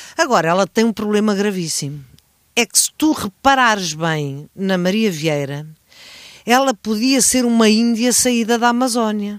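A normal speaking voice from a woman, fairly slow and lively in intonation, with very even loudness, a dry, close sound with no echo and a very clean, silent background. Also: fairly high pitch for a woman. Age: 60s. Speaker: podcast co-host. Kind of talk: casual chat.

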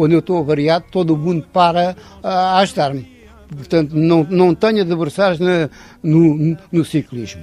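A dark, mellow tone with very even loudness and fairly even intonation. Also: man, high pitch for a man, moderate pace. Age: 80s+. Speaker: retired cyclist, cycle tourist. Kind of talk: interview at home. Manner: halting.

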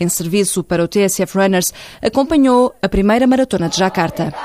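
A woman speaks at a moderate pace in a medium pitch with a European Portuguese accent. The recording is very clean and silent behind her, with a dry, close sound and no echo. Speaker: radio show host. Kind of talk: scripted narration.

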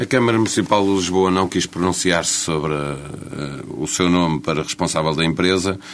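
Through noticeable background noise, a man with a very deep, low pitch talks with hardly any pauses. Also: ordinary pitch variation, moderate pace. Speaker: radio journalist. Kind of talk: interview; scripted narration.

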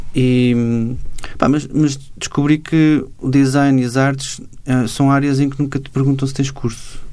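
A man speaking fairly slowly, with audible room echo and noticeable background noise. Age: 40s. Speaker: cartoonist and illustrator. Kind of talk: interview.

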